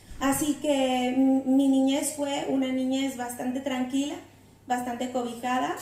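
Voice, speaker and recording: With a Mexican accent, a woman speaks at a high pitch in a monotone, flat intonation, with audible room echo and noticeable background noise. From Mexico, Mexico City. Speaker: guest preacher. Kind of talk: sermon. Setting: church. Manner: halting, many fillers.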